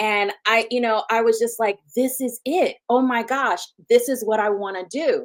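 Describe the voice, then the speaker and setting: The speaker has a Southern US accent and ordinary pitch variation. The pace is moderate. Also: woman, fairly high pitch for a woman. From US South (Huntsville, Alabama). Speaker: physician, OB-GYN. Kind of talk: interview. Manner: animated.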